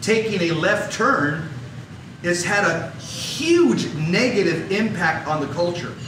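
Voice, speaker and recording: A man with an American accent speaks in an animated tone with lively intonation. Noticeable background noise and audible room echo surround him. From Los Angeles area, US. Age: 60s. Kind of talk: talk. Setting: stage with audience.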